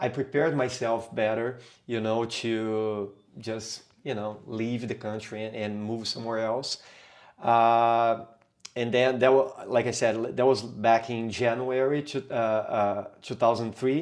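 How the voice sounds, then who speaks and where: At a fairly slow pace, a man with a Brazilian Portuguese accent speaks at a medium pitch with monotone, flat intonation. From Brazil, São Paulo. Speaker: capoeira teacher. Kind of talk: podcast interview. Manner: halting, many fillers.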